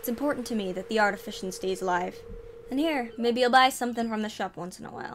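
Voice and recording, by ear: Ordinary pitch variation, reading aloud in a natural voice.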